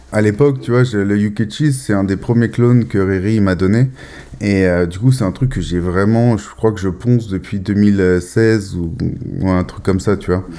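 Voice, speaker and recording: Noticeable background noise surrounds a man's voice. He speaks at a fairly low pitch with ordinary pitch variation. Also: moderate pace. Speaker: podcast host, cannabis grower. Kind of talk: casual chat. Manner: halting, with repetitions.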